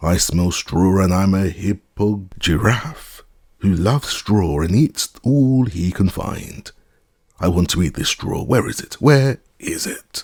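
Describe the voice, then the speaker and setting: A man's put-on character voice, growling and hoarse, fairly low-pitched and fairly slow. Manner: growling, snarling.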